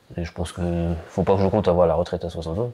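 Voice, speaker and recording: A man speaks at a very fast pace in a very deep, low voice. Noticeable background noise runs underneath. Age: 40s. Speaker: dairy farmer. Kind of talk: documentary interview. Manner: hesitant, many fillers.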